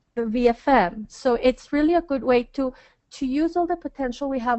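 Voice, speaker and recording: A woman talks at a fairly quick pace with a Spanish accent. Her pitch is high. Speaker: hotel marketing director. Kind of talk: webinar presentation.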